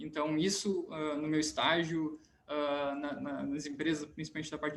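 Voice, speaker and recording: A man's fairly high-pitched voice. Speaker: civil engineering student, junior enterprise founder. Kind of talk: panel discussion. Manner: fast; halting, many repetitions.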